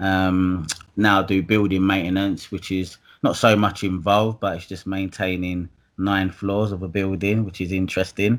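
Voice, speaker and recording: A man with a very deep, low voice talks at a fairly quick pace on a very clean recording with a silent background. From Essex, east London. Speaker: property investor and electrician. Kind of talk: casual interview chat.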